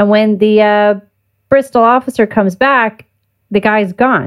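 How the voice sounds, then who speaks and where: At a fairly slow pace, a woman with a medium pitch talks in an unremarkable speaking voice. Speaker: podcast host. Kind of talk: casual interview chat.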